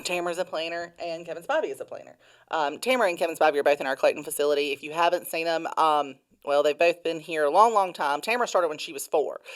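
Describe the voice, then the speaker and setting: A woman with a fairly low pitch talks at a very fast pace with ordinary pitch variation, in a very clean recording with a silent background. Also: big swings in loudness. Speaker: company podcast host. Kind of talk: casual interview chat. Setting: podcast room. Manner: loud; animated.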